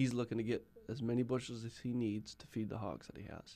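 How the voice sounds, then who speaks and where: Using a normal speaking voice, a man at a medium pitch talks at a fairly quick pace. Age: 20s. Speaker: agriculture technology professional. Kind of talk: interview.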